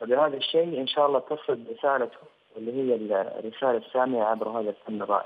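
A man speaks at a medium pitch with ordinary pitch variation. It is a plain, everyday voice. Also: fairly quick pace. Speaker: singer, talent show contestant. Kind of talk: casual interview.

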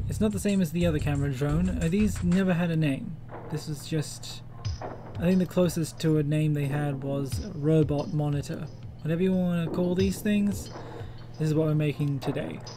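A man at a moderate pace with lively intonation, music in the background. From Australia. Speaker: 3D modeller, game fan. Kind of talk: casual tutorial talk to camera.

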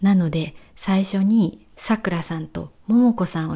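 A woman's dark, mellow voice at medium pitch, somewhat breathy, with lively intonation. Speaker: Japanese language teacher. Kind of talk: walking vlog narration for learners. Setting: outdoors. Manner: clear, slow-paced for learners.

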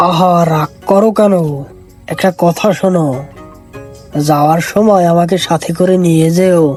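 A female-sounding, cartoonish character voice speaks at a fairly slow pace in a fairly low pitch. Clear music plays in the background. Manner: sweet-talking.

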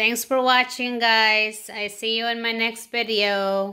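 Speaking at a very slow pace, a woman keeps her intonation fairly even over a quiet background. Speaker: home vlogger. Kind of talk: casual vlog chat. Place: kitchen. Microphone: phone near.

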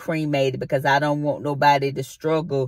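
A woman with a very deep, low pitch is captured in a very clean recording against a silent background. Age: 50s. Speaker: vlogger. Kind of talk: casual vlog monologue. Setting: in a car.

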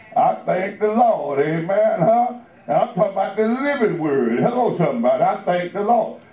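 A man's voice at a moderate pace, with audible room echo. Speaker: preacher. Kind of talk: sermon. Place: church. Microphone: camera far.

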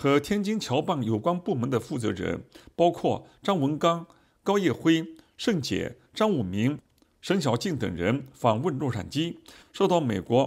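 On a very clean recording with a silent background, a man with vocal fry speaks fairly slowly at a fairly high pitch, his pitch swinging very widely. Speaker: news reporter. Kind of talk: news reading.

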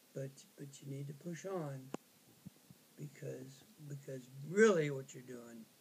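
Noticeable background noise sits behind a man with a fairly high pitch who speaks at a very slow pace in a somewhat breathy voice. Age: 80s+. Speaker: grandfatherly advisor. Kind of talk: interview answer. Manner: hesitant, halting. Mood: warm and encouraging. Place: kitchen. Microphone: phone near.

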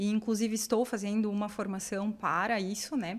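This woman has a fairly high pitch. Her intonation is monotone and flat. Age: 30s. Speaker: production engineer and business consultant; guest. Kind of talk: podcast interview. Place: studio. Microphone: studio mic.

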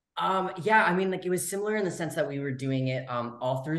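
A man speaks with an American accent and ordinary pitch variation. Audible room echo surrounds his voice. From California. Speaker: actor. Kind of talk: casual interview. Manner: animated. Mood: cheerful, relaxed. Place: home room. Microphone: video call.

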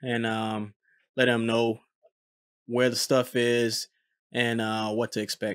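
A man's medium-pitched voice has a fairly bright tone. The sound is dry and close with no echo, on a very clean recording with a silent background.

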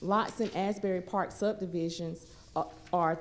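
A woman speaks at a moderate pace with a dark, mellow tone and fairly even intonation over light background noise. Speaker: city planning staff; presenter. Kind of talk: formal staff presentation. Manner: formal. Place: meeting room. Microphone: podium.

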